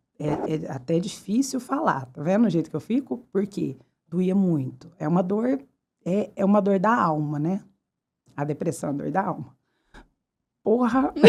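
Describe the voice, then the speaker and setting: Speaking at a fairly slow pace with long, frequent pauses, a woman of medium pitch swings very widely up and down. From Brazil, Uberaba (Minas Gerais). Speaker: fashion retailer, podcast guest. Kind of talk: casual interview chat. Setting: podcast studio.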